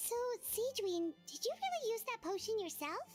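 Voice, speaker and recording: A woman's squeaky, put-on character voice at an extremely high pitch, with lively intonation and a moderate pace over music in the background. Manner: surprised.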